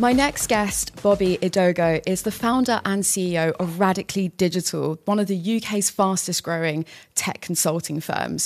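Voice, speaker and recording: This woman has a plain, everyday voice, pitched in the medium range with ordinary pitch variation. She goes at a moderate pace in a very clean recording with a silent background. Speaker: podcast host. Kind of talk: casual interview.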